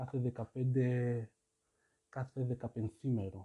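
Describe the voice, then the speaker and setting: Somewhat breathy, a man talks in a monotone, flat intonation at medium pitch. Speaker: podcast host. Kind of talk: solo monologue podcast. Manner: halting.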